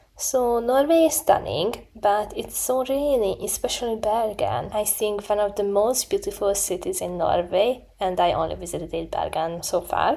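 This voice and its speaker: A woman talks at a moderate pace with hardly any pauses and lively intonation. Her pitch is fairly high, and there is noticeable background noise. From Hungary. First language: Hungarian. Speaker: student vlogger. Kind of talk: vlog narration. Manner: casual, self-deprecating.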